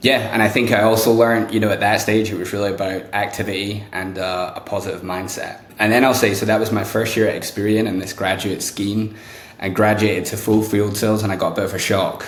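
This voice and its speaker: A man with a British accent, fairly low pitch and monotone, flat intonation, at a very fast pace with hardly any pauses, amid audible room echo and noticeable background noise. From UK. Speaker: sales executive. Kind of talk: podcast interview.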